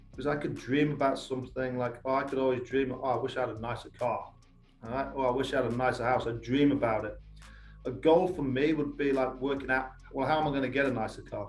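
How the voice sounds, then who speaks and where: A man of medium pitch at a very fast pace, with music in the background and audible room echo. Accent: strong English. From England, Lincolnshire (east coast). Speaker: youth soccer academy coach. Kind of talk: podcast interview. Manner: animated.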